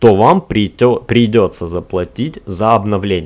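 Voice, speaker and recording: A man speaks at a fairly low pitch. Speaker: tech podcast host. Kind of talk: solo podcast monologue. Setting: recorded on a tablet. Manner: casual, with frequent filler sounds.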